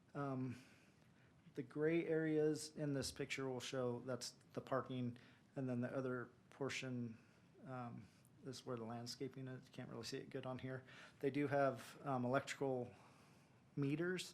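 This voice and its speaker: Mumbling in a flat, monotone way at a moderate pace, a man with a medium-pitched voice shifts sharply in loudness and leaves long, frequent pauses. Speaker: city planning staff. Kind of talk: staff presentation at council meeting. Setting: city council meeting.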